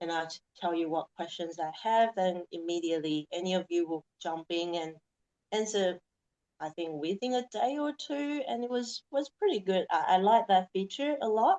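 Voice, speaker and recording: A woman's medium-pitched voice at a moderate pace, with lively intonation. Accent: non-native. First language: not English. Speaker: naturopathy graduate. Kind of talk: interview.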